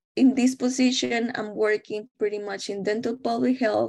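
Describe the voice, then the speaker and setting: A woman with a Spanish accent at a fairly slow pace, in a very clean recording with a silent background. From Mexico. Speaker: dental public health researcher and instructor. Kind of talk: interview.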